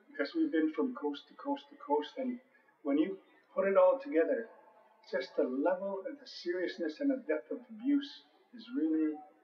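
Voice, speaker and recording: In a room with audible echo, a high-pitched man speaks at a moderate pace with big swings in loudness. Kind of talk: interview answer. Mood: earnest, reflective. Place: hall.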